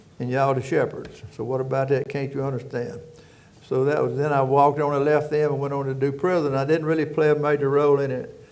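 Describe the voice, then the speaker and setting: A man at a very fast pace, fairly high in pitch and monotone with flat intonation, with audible room echo and noticeable background noise. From rural Louisiana. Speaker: prison warden. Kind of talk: casual chat.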